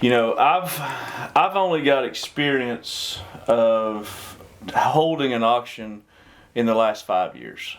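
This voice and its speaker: A man talks with lively intonation while noticeable background noise carries on. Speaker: auctioneer and realtor. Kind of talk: business talk show host. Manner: casual, upbeat.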